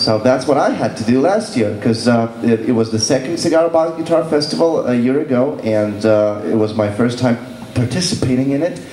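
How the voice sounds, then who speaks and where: A man with a Lithuanian accent speaks at a fairly quick pace and medium pitch, with ordinary pitch variation, audible room echo and noticeable background noise. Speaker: blues musician. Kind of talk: workshop. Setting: stage with audience.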